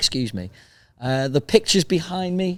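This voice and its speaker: On a very clean recording with a silent background, a man with a Liverpool accent speaks at a moderate pace with lively intonation. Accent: Liverpool (Scouse). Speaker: podcast host. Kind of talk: casual outro to camera.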